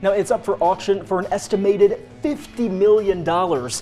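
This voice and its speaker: Music plays in the background while a man talks with an upbeat tone. His pace is moderate and his pitch variation is ordinary. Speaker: news anchor. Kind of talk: casual ad-lib banter.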